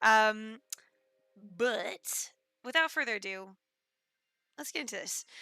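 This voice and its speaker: Loud and bright with a sharp tone, a woman speaks at a fairly slow pace with lively intonation and long, frequent pauses, on a very clean recording with a silent background. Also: fairly high pitch for a woman. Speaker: game streamer. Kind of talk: casual live stream chat. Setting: live stream.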